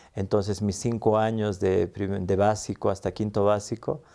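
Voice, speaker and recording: In a very clean recording with a silent background, a man speaks at a fairly low pitch with a dark, mellow tone. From Bolivia (La Paz), early childhood in Arica, Chile. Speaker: interviewee telling life story. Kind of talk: interview, personal life story. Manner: hesitant, many fillers.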